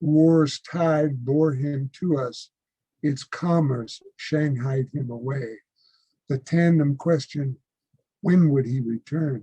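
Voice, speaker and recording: Speaking at a very slow pace, a man with an American accent has a somewhat breathy, dark, mellow tone, fairly high pitch and fairly even intonation. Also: dry, close sound with no echo. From United States. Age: 70s. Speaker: poet. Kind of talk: poetry reading.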